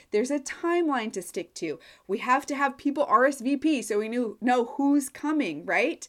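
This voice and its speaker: In a Midwestern US accent, a woman with a high voice speaks at a moderate pace with lively intonation, captured on a very clean recording with a silent background. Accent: US Midwest. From Nebraska. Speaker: course launch consultant. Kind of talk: solo podcast monologue.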